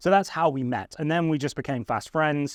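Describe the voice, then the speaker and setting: Against a quiet background, a man speaks with an English accent at a fairly quick pace. His pitch is fairly high, with ordinary pitch variation. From England. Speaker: photographer and YouTuber. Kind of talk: casual chat.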